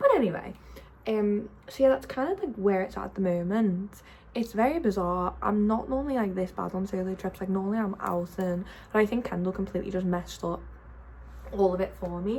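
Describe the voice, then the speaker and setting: At a fairly quick pace, a woman talks in a somewhat breathy voice at a medium pitch, with ordinary pitch variation. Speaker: vlogger. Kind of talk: casual vlog chat. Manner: fast.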